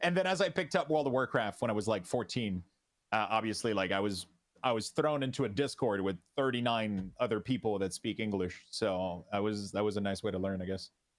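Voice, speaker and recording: A man speaks with a slight French Canadian accent at a fairly quick pace. His pitch is fairly low, on a very clean recording with a silent background. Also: ordinary pitch variation. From Quebec. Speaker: streamer. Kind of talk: interview. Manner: halting.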